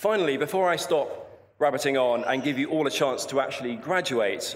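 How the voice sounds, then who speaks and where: At a moderate pace, a man talks with a southern English accent. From southern England, Portsmouth. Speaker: polar explorer. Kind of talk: commencement speech. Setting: stage with audience.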